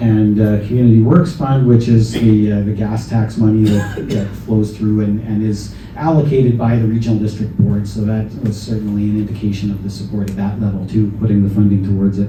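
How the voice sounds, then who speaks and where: Talking fairly quickly with hardly any pauses, a man with a fairly low voice is heard over noticeable background noise and audible room echo. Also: fairly even intonation. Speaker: local government staff presenting project finances. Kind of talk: public information meeting presentation. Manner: halting, many fillers. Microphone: handheld mic, may be too quiet.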